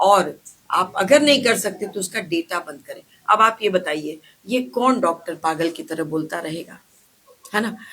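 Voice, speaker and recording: A woman of medium pitch speaks with lively intonation and big swings in loudness. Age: 60s. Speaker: ayurvedic doctor running a clinic. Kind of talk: interview. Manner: animated.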